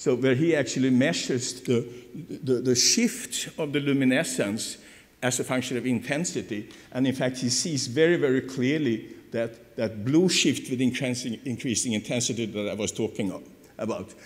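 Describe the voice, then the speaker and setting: At a moderate pace, a man of medium pitch speaks with ordinary pitch variation amid audible room echo. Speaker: professor. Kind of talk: lecture. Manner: halting, many repetitions.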